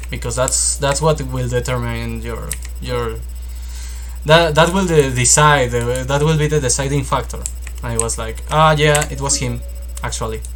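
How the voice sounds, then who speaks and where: A man talks at a moderate pace. Noticeable background noise and audible room echo surround his voice. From Mexico. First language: Spanish. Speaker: fantasy novelist and YouTuber. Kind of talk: casual monologue. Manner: halting.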